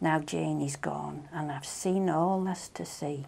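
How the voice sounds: A dark, mellow tone in a Manx accent, at a slow pace and with big pitch swings. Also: woman. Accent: Manx, rural Maughold.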